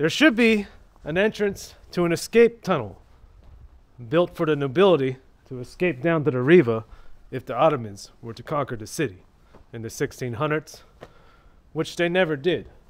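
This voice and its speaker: Set against a quiet background, the speech goes at a moderate pace with big swings in loudness and long, frequent pauses. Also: man. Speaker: travel vlogger. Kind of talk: casual vlog chat. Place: street. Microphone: phone near.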